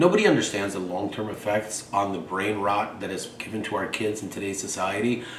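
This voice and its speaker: A man with a fairly low pitch talks in an animated tone at a fairly quick pace, with hardly any pauses. Noticeable background noise and audible room echo are present. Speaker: vlogger. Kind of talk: monologue. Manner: fast.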